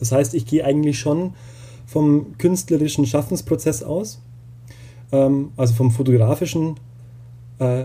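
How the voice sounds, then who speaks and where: A man with a somewhat breathy, dark and mellow tone speaks at a medium pitch and fairly slow pace, with fairly even intonation. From Bavaria (Upper Palatinate). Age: 30s. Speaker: doctoral researcher in photography education. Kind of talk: interview. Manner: hesitant, many fillers.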